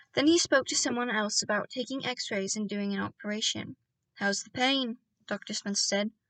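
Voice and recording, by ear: Against a quiet background, a natural voice reads a text aloud.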